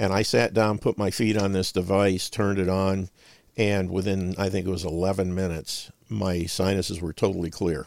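A man with an American accent and a very deep, low pitch, monotone and flat at a moderate pace, on a very clean recording with a silent background. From northern Ohio, US. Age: 60s. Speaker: health supplement and nutrition advocate, veteran. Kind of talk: radio interview.

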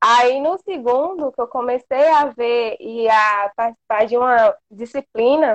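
A woman talks at a very slow pace. Her voice is high, with ordinary pitch variation. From Brazil, inland Bahia. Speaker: veterinary student. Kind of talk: casual interview. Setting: Instagram live video call.

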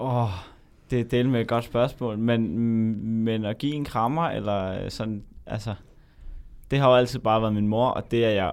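A man talks fairly slowly, at a medium pitch, with fairly even intonation. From Denmark, Zealand. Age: 20s. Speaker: medical student. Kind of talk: interview. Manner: halting.

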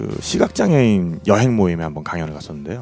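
A man with lively intonation, audible room echo and music in the background. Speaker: travel podcast host and producer. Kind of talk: casual chat.

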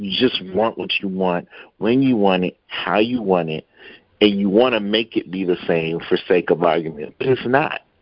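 Here is a man with an unremarkable speaking voice, pitched fairly low. He keeps a moderate pace and ordinary pitch variation. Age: 30s. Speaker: podcast guest. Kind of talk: casual debate.

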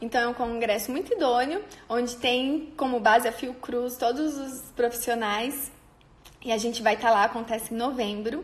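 A woman's high voice at a moderate pace with ordinary pitch variation, over noticeable background noise. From Brazil, interior of São Paulo state near Paraná border. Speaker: nutritionist. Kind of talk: personal storytelling monologue. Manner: informal with frequent fillers.

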